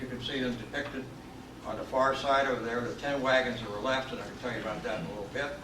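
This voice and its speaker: A man with a medium-pitched voice is heard here. Noticeable background noise and audible room echo fill the recording. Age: 80s+. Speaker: train historian and model builder. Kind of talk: talk to a community group.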